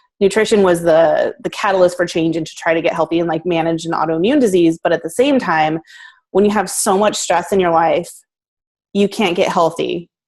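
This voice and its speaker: Against a quiet background, a woman with an American accent and a fairly low pitch speaks at a fairly quick pace with ordinary pitch variation. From Northern California. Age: 40s. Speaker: food blogger and entrepreneur. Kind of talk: interview. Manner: casual, many fillers.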